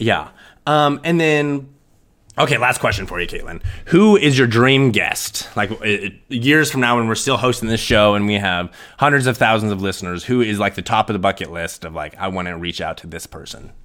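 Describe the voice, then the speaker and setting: A man with a Midwestern American accent speaks at medium pitch and moderate pace, with a bright, sharp tone, lively intonation and big swings in loudness. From rural western Nebraska. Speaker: podcast co-host. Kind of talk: casual chat. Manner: halting, many fillers.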